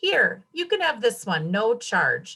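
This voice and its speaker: A woman puts on a character voice, high in pitch. She delivers it at a fairly slow pace. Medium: read story. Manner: grumbling, short-tempered.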